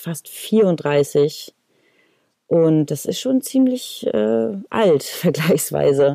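The sound is dry and close, without echo. A woman's tone is dark and mellow. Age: 30s. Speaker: acting student and podcast host. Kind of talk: casual podcast talk. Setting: recorded separately via laptop video call.

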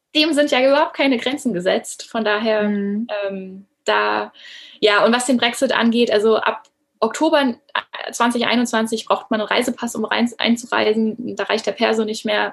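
The woman has an ordinary speaking voice, fairly high for her, keeping a moderate pace and ordinary pitch variation. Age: 30s. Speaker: former teacher turned coach. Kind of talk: interview.

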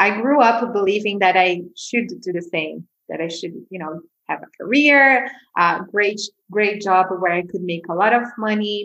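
With a Portuguese accent, a woman speaks at a moderate pace in a bright, sharp tone, with big swings in loudness. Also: medium pitch for a woman, ordinary pitch variation. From Brazil, Sao Paulo. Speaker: mindfulness teacher. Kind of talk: casual interview.

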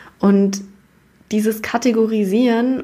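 A somewhat breathy woman's voice with a dark, mellow tone. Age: 20s. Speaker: podcast host. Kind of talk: casual monologue. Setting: office. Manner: casual, chatty.

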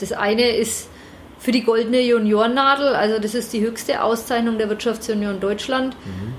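Flat, monotone speech moves at a moderate pace. Noticeable background noise and audible room echo are present. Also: woman, fairly high pitch for a woman. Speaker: managing director of a business park. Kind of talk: interview. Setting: office.

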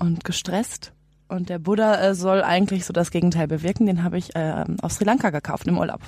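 A woman with a fairly low pitch talks at a fairly quick pace in an ordinary speaking voice. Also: fairly even intonation. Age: 20s. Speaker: trainee and van traveller. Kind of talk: interview.

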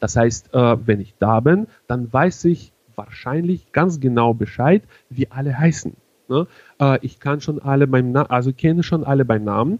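At a fairly slow pace, a man with a slight Russian accent speaks at medium pitch with ordinary pitch variation. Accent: slight Russian-tinged. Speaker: wedding emcee. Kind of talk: casual interview. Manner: halting, many fillers.

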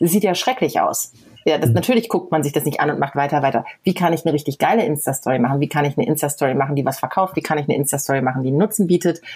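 Against noticeable background noise, a woman with a very deep, low pitch speaks very fast with lively intonation. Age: 40s. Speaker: blogger. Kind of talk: casual interview.

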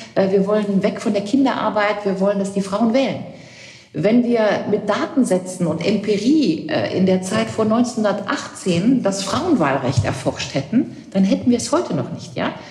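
Noticeable background noise and audible room echo fill the recording. A woman with a medium pitch speaks at a fairly slow pace with lively intonation. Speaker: political scientist and commentator. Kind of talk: interview.

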